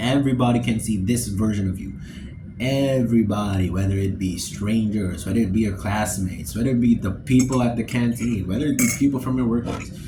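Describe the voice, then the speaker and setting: A man's medium-pitched voice at a fairly quick pace, with audible room echo. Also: ordinary pitch variation. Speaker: vlogger. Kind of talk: casual monologue. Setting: alone in dorm room. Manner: halting.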